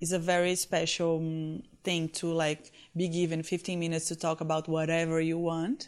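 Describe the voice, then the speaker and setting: At a moderate pace, a woman with a Portuguese accent speaks in a fairly low pitch with monotone, flat intonation over a quiet background. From Brazil, Recife (northeast). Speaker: fashion influencer. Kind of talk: interview. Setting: conference in Sao Paulo.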